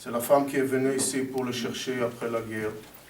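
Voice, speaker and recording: A man at a moderate pace and medium pitch, with monotone, flat intonation, noticeable background noise, and audible room echo. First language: not French (speaking French). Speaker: history teacher. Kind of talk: ceremony speech. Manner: halting.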